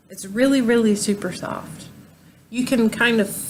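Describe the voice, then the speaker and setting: A woman speaks with a Southern US accent. Her intonation stays fairly even. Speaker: crochet vlogger. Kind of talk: casual show-and-tell tutorial. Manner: halting, many ums.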